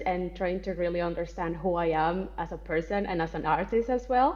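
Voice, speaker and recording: A woman with a Colombian accent, a fairly low pitch, ordinary pitch variation and a fairly quick pace. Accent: non-native English, Colombian Spanish. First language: Spanish. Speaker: actress, writer and spiritual content creator. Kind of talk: podcast interview.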